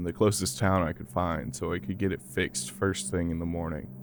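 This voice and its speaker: This man talks at a fairly quick pace. Music plays in the background. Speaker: horror podcast narrator. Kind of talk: horror story narration.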